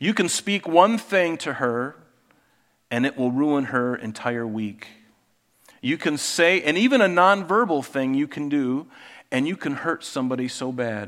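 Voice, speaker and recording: A man has an unremarkable speaking voice with a fairly high pitch. He talks at a fairly slow pace with lively intonation on a very clean recording with a silent background. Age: 50s. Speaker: pastor. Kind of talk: sermon.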